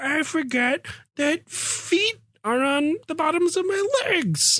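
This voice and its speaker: A high-pitched, put-on character voice delivered at a fairly slow pace. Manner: silly, airheaded.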